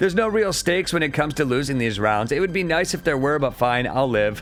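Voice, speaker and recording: A man races along at a very fast pace with lively intonation while music plays in the background. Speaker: retro game reviewer. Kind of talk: game review narration.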